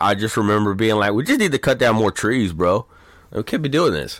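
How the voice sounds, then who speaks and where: A man with an ordinary speaking voice, medium pitch and ordinary pitch variation, in an American accent. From Texas. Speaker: podcast co-host. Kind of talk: casual chat.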